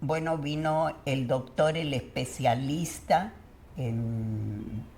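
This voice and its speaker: A woman's voice over noticeable background noise. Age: 90s. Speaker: retired educator. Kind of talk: interview answer.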